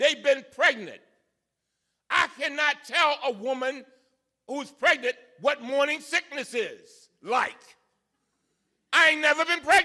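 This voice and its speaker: A man's extremely high, bright, sharp, raised and projected voice in a passionate tone, fairly slow with long, frequent pauses and ordinary pitch variation. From Baltimore, Maryland. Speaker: congressman. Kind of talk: public speech. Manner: fiery, passionate.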